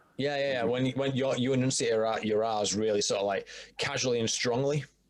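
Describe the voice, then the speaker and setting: A man with a northern English accent talks at a fairly quick pace. His pitch is medium, his intonation fairly even, and his loudness very even. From northern England, York. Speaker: podcast guest. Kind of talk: casual chat.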